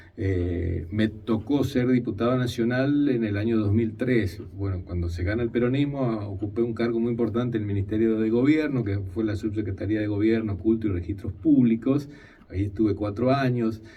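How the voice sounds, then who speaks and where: Noticeable background noise behind a man talking at a moderate speed. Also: medium pitch for a man, ordinary pitch variation. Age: 50s. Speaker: politician. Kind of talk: radio interview. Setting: radio studio.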